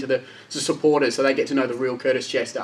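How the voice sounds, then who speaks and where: Noticeable background noise sits behind a man speaking. His pitch is fairly high and his pace very fast. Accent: Australian. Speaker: club media host. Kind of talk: casual interview host. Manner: upbeat.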